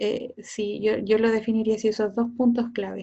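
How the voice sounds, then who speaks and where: A woman's fairly high, somewhat breathy voice in a Chilean accent, flat and monotone. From south-central rural Chile, Cauquenes. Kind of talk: casual interview.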